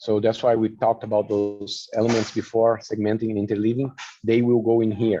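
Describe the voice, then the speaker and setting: A man with a non-native accent speaks at a fairly quick pace in a flat monotone, his medium-pitched voice dark and mellow, its loudness very even against a quiet background. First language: not English. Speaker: flute teacher presenting a workshop. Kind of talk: online workshop presentation. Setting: online video presentation.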